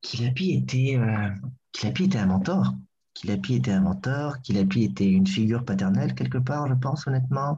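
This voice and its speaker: At a moderate pace, a man speaks in a medium pitch with a dark, mellow tone that is somewhat breathy. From Burundi, Bujumbura. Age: 30s. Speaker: actor and theatre director. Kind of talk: casual interview. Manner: hesitant, many fillers.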